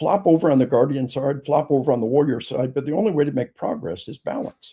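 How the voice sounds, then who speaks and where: A man with a dark, mellow tone, ordinary pitch variation, and a very fast pace. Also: fairly high pitch for a man. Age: 70s. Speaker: author and police trainer. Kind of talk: interview. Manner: halting, many repeated words; animated.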